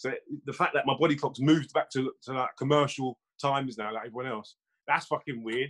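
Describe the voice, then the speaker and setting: A man talks very fast in a London accent, with ordinary pitch variation. The sound is dry and close, with no echo. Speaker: music producer. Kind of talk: casual chat. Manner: quiet, reserved.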